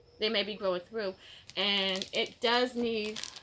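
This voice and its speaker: Noticeable background noise sits behind a woman who talks at a fairly slow pace. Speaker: mushroom-growing hobbyist vlogger. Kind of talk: casual vlog chat. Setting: at home on a patio/sunroom. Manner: rambling, conversational with fillers.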